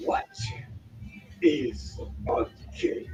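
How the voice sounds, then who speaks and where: A man's put-on character voice over clear background noise. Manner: menacing.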